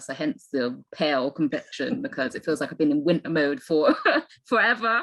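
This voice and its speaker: At a moderate pace, a woman with a very deep, low voice speaks with lively intonation. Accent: Bristol. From England, Bristol. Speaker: landscape photographer. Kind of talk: interview.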